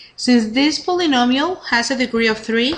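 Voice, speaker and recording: A woman with a high voice is heard with audible room echo. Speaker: math teacher. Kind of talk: lecture. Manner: fast.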